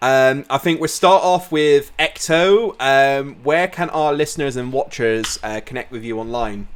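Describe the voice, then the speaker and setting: With a southern English accent, a man talks at a fairly slow pace and a fairly high pitch, his pitch varying in an ordinary way. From southern England. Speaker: podcast host. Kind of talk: casual chat.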